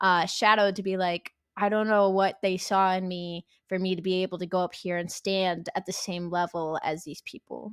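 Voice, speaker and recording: In a very clean recording with a silent background, a woman of medium pitch speaks in a flat monotone, the sound dry and close with no echo. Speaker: esports caster and streamer. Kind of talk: interview. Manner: fast.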